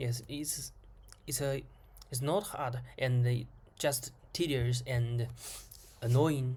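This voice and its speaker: The speaker talks at a very slow pace with a non-native accent, leaving long, frequent pauses. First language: not English. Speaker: programmer vlogger. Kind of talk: screen-recorded coding tutorial. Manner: halting, many repetitions.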